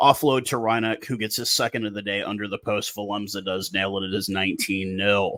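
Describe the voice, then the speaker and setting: A man with a fairly low pitch and a bright, sharp tone speaks at a fairly quick pace with fairly even intonation and hardly any pauses. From USA. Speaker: rugby commentator YouTuber. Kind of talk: casual commentary vlog.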